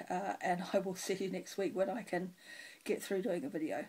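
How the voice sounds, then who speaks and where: Vocal fry from a woman with a New Zealand accent, medium in pitch, at a moderate pace. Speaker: cross stitch video blogger. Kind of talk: casual chat.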